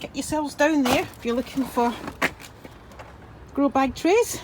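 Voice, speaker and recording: Noticeable background noise runs under this recording. Through it, a woman speaks in a high pitch. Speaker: gardening vlogger. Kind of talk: casual vlog tour. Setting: outdoors at allotment. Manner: speaking up, a bit shouty.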